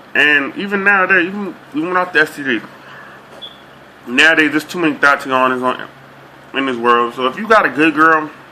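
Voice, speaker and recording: Amid noticeable background noise, a man with an American accent talks at a fairly quick pace in a fairly high voice with ordinary pitch variation and long, frequent pauses. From Boston, Dorchester. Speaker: vlogger. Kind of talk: casual monologue vlog.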